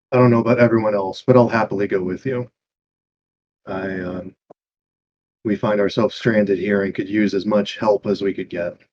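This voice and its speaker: A man's put-on character voice, raspy and fairly low, with fairly even intonation, a fairly quick pace and long, frequent pauses. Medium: actual play. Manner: polite, earnest.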